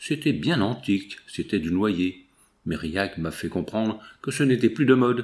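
The intonation is lively in this plain reading aloud.

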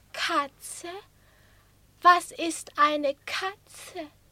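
Using a put-on character voice, a woman speaks very slowly at an extremely high pitch, her tone bright and sharp and her intonation fairly even.

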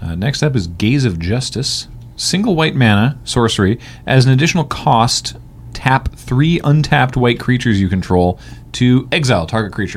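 Using vocal fry, a man speaks at a moderate pace and medium pitch with lively intonation. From Western Canada. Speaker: podcast host. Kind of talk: casual chat.

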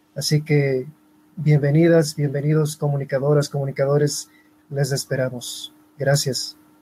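Fairly slow and monotone, a man speaks at a fairly high pitch in a dark, mellow tone that is somewhat breathy. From Ecuador. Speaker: web and multimedia designer. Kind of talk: live online panel discussion. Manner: formal.

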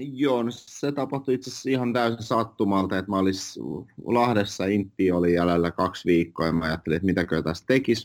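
This is a man with a plain, everyday voice, pitched fairly low. He talks at a fairly quick pace with ordinary pitch variation. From Finland, moved from Russia at age five. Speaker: real estate agent. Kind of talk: interview. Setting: office.

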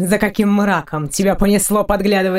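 Someone reads out a passage. It comes in a natural reading voice.

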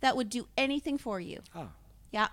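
Raised and projected, a woman's voice sounds bright and sharp, high in pitch, with lively intonation. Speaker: singer and livestream host. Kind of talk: casual chat.

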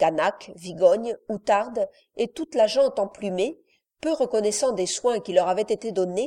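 A plain read-aloud delivery with lively intonation. The background is quiet.

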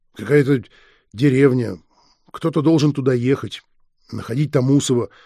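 A natural reading voice keeps its intonation fairly even against a quiet background.

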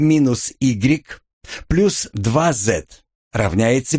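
Someone reads aloud in a natural voice. The background is quiet.

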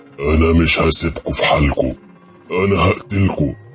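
Putting on a character voice, a man speaks very deep and low. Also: moderate pace. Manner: terrifying, threatening.

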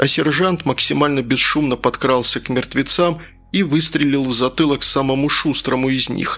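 What comes through is an unforced reading voice.

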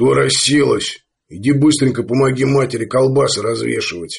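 A man puts on a character voice. He talks at a moderate pace and a medium pitch. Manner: hostile, unfriendly.

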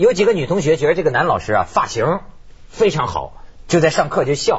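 A man speaks at a fairly quick pace with a fairly high pitch. His pitch swings widely.

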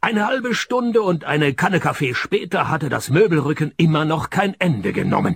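A man puts on a character voice, fairly high with big pitch swings. His moderate-paced delivery has a slightly husky edge and vocal fry.

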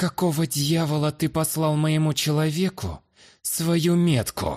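A man puts on a character voice, fairly high-pitched and hissing, at a moderate pace with fairly even intonation. The recording is very clean, with a silent background. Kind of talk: arrogant. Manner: haughty, contemptuous, hissed.

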